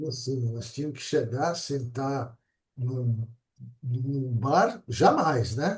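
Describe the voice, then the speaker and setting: The voice is somewhat breathy, and its loudness swings widely. The pace is very slow. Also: man, medium pitch for a man, ordinary pitch variation. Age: 70s. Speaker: interview show host. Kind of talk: interview chat.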